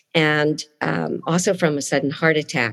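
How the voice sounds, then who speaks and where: A woman speaks at a fairly slow pace in a very deep, low voice with ordinary pitch variation. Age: 60s. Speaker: speech-language pathologist and life coach. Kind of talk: interview.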